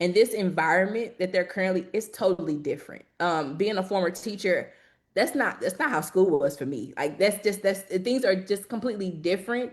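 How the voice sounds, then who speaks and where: Over a quiet background, a woman talks fairly quickly at a medium pitch with lively intonation in an ordinary speaking voice. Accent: American. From southern Illinois, East St. Louis. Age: 20s. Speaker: civil rights organizer. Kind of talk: panel discussion.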